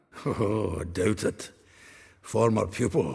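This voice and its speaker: Using a put-on character voice, a man speaks raspily at a fairly low pitch and a fairly slow pace. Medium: video game. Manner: chuckling, gossipy.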